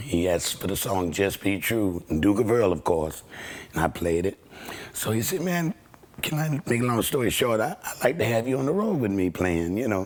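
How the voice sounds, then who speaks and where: A man with a fairly low pitch speaks with very wide pitch swings. Noticeable background noise can be heard. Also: moderate pace. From Washington DC. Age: 60s. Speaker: session guitarist. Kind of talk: interview storytelling.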